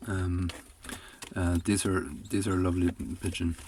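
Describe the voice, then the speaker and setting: The man's voice sits very deep and low. His intonation is monotone and flat. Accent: Irish. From Ireland, Galway. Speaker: pigeon and poultry keeper. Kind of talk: tutorial. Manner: hesitant, many fillers.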